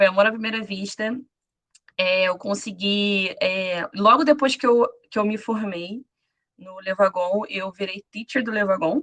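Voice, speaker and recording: A woman speaks fairly slowly at a medium pitch, her intonation fairly even. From Rio de Janeiro, Brazil. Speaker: former bootcamp student, programmer. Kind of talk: self-introduction on a live panel.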